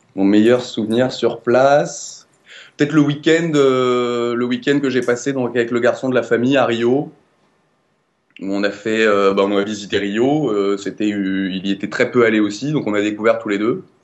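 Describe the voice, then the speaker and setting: A man speaks at a moderate pace. His voice sits at a medium pitch with ordinary pitch variation. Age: 20s. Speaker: law student, former volunteer teacher abroad. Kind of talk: interview testimony. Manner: hesitant, many fillers and repetitions.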